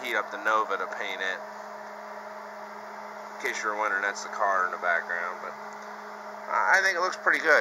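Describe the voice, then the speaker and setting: Speech delivered at a very fast pace over noticeable background noise. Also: man. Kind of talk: casual tutorial narration. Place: garage. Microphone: phone near.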